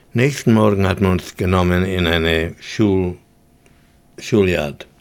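A man's very deep, low voice at a very slow pace. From Vienna, Austria and Hungary. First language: English in daily life, German rusty (speaking German). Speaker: Holocaust survivor. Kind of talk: testimony. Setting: studio.

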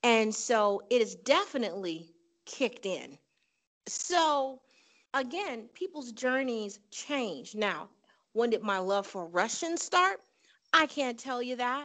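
The speaker talks very slowly with an American accent and very wide pitch swings against a quiet background. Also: woman, high pitch for a woman. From Chicago, US Midwest. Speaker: polyglot language learner. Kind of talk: interview.

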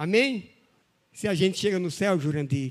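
A man speaks high in pitch with lively intonation. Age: 60s. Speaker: pastor. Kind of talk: sermon.

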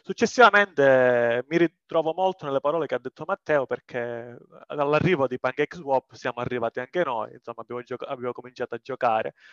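A man speaks at a very fast pace with a southern Italian accent and a medium pitch. His pitch varies in an ordinary way, and the sound is dry and close with no echo. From southern Italy. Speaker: community member. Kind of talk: casual chat.

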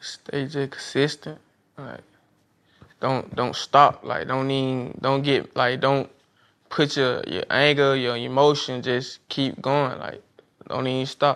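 Speaking very slowly, a man uses a medium pitch. He has a Southern US accent and fairly even intonation. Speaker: street water vendor. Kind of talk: casual chat.

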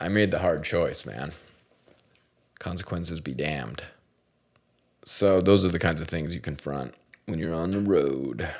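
A man with a very deep, low pitch and vocal fry takes long, frequent pauses amid audible room echo. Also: ordinary pitch variation, moderate pace. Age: 40s. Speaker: podcast host, professional driver. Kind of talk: casual chat. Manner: animated.

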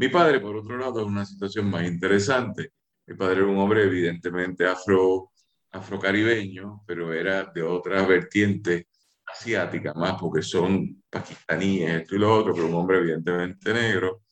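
Fairly even in intonation and moderate in pace, the man talks with a very deep, low pitch. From Puerto Rico. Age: 50s. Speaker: lawyer and writer. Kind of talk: radio interview.

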